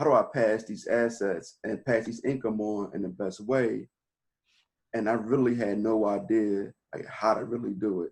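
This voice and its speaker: Speaking in an American accent, a man uses an ordinary speaking voice at a medium pitch, keeping a moderate pace and fairly even intonation. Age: 40s. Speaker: real estate investor and interviewer. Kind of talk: casual interview conversation.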